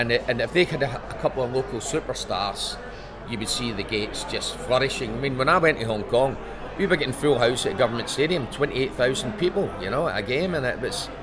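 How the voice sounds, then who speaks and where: Amid noticeable background noise and audible room echo, a man with a Scottish accent speaks at a very fast pace in a medium pitch with lively intonation. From Scotland. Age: 70s. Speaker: former footballer. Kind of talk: interview. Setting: author convention.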